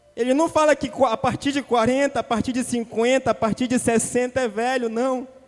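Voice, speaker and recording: Against noticeable background noise, a man with an extremely high pitch talks at a moderate pace with hardly any pauses. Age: young. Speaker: preacher. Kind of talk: sermon. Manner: animated.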